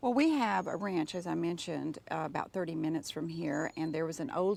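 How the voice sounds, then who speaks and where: A woman speaks at a moderate pace with lively intonation. Vocal fry shows in her voice. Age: 60s. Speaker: home gardener. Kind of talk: garden tour interview. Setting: outdoors in a garden.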